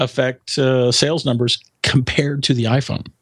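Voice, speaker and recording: A man speaks in an unremarkable speaking voice at a moderate pace and fairly high pitch. The sound is dry and close, with no echo. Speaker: tech writer. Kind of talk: casual interview chat.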